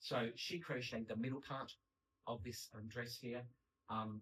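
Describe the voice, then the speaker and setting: Speaking at a fairly slow pace, a man has a bright, sharp tone and ordinary pitch variation. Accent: Australian. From Australia. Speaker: paper engineer and artist. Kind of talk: public lecture. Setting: stage with audience. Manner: animated.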